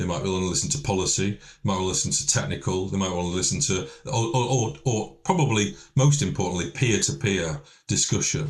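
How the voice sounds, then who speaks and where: A fairly low-pitched man at a fairly quick pace, with very wide pitch swings and noticeable background noise. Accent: Lancashire. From northern England, Lancashire. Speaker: event organiser director. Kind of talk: podcast interview. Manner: halting, many repetitions.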